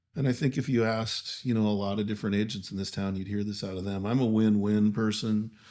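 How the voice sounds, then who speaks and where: A man's calm, dark, mellow voice at fairly low pitch, monotone and flat in intonation, very clean recording with a silent background. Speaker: real estate agent. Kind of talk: casual podcast interview.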